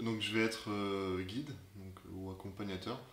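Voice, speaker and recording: Amid audible room echo and noticeable background noise, a man speaks at a fairly low pitch. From France, Clermont-Ferrand. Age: 20s. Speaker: student, festival volunteer guide. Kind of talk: interview. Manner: halting, repeats words.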